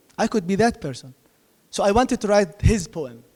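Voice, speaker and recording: A man speaks with an Arabic accent. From Gaza, Palestine. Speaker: poet. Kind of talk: panel discussion. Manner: halting.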